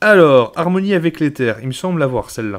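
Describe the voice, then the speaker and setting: With lively intonation, a man speaks at a fairly slow pace. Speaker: YouTuber, card collector. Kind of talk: card booster opening, reading cards aloud. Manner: casual; halting, stumbling over words.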